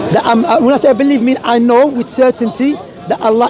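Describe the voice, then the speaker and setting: A man at an extremely high pitch and very fast pace with ordinary pitch variation, crowd noise in the background. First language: not English. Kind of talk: street debate.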